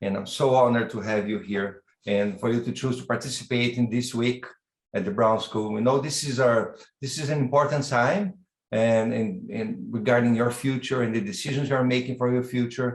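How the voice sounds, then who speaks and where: With a Brazilian accent, a man speaks at a moderate pace and medium pitch, using ordinary pitch variation. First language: Portuguese. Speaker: university dean and professor. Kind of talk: welcome address. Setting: online video event. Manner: halting, with repetitions.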